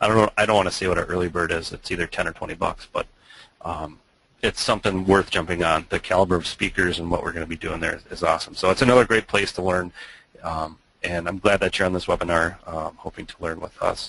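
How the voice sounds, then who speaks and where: A man with a strong Minnesota accent, very deep and low in pitch, with a bright, sharp tone, fairly even intonation and a very fast pace, in a dry sound with no echo. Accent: Minnesota accent, thick. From Minnesota, US Midwest. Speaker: web agency owner, webinar presenter; webinar presenter. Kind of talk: webinar presentation. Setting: online webinar, screen share. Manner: hesitant, many fillers. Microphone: video call.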